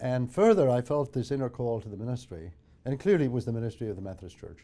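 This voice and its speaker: A man with a Northern Irish accent, a dark, mellow tone and ordinary pitch variation. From Northern Ireland. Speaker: theology professor. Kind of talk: personal testimony.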